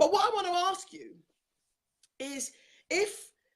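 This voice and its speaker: A woman with an English accent and very wide pitch swings. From England. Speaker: talk show host, confidence coach. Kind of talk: interview. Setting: live online show.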